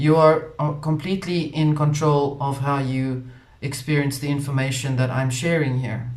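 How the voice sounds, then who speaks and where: A man speaks with a South African accent at a fairly high pitch. His intonation is monotone and flat, and the room echo is audible. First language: Afrikaans. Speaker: spiritual channel host. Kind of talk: casual monologue.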